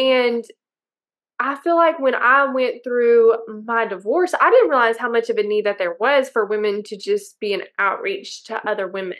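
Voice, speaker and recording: This is an unremarkable speaking voice at a moderate pace. Its intonation is lively. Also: woman, fairly high pitch for a woman. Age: 30s. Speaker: financial advisor and podcast co-host. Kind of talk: casual chat.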